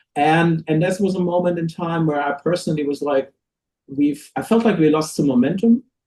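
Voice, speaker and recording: A man speaks at a fairly quick pace in a fairly high pitch, his tone dark and mellow, with ordinary pitch variation. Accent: German. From Germany. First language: German. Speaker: record label owner and musician. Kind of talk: interview chat. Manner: halting, many restarts.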